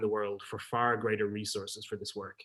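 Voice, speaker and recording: This man speaks with an Irish accent. His pace is fairly quick. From Ireland. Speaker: peacebuilding network leader. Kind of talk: presentation. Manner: fast.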